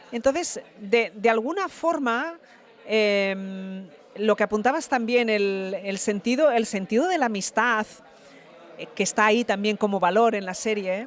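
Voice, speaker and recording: With a plain, everyday voice, a woman speaks at a fairly slow pace and a fairly high pitch with ordinary pitch variation. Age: 50s. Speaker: actress. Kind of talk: interview.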